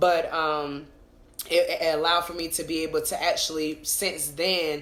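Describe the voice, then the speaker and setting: In a room with audible echo, a woman speaks at a moderate pace in an animated tone. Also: fairly low pitch for a woman. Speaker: podcast co-host and business owner. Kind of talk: casual chat. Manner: loud.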